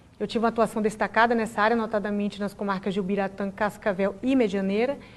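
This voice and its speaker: A woman races along at a very fast pace, her medium-pitched voice held in monotone, flat intonation. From Brazil, Bahia. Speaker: public prosecutor. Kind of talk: TV interview. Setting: TV studio, live broadcast. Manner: formal.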